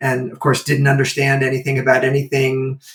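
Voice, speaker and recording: This man's voice comes across as somewhat breathy. His pace is fairly quick. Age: 60s. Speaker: animal welfare entrepreneur and martial artist. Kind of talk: interview conversation. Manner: casual with fillers.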